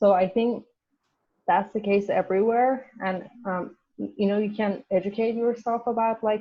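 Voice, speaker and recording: Speaking with a Persian accent, a woman keeps a fairly high pitch and a moderate pace. Her intonation is monotone and flat. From Iran. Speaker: university student. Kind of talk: casual class discussion. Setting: video call. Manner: halting, many fillers.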